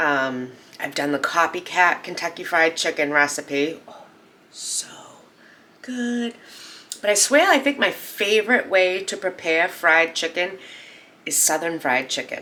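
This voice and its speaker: A woman with a Boston accent speaks at a fairly slow pace in a fairly low pitch, her animated tone carrying lively intonation and big swings in loudness, with long, frequent pauses and noticeable background noise. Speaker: cooking channel host. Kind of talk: cooking tutorial.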